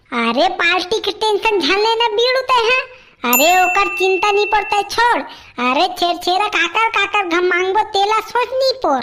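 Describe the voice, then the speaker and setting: A woman does a cartoonish character voice at an extremely high pitch, with lively intonation. Her loudness stays very even, and she moves at a moderate pace. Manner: boisterous, jokey.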